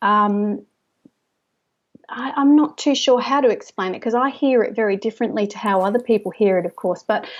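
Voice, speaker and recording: This woman has an Australian accent and a fairly high pitch. She speaks at a moderate pace with ordinary pitch variation. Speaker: stress management specialist. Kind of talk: interview. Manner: gentle soft trance voice when tapping with clients.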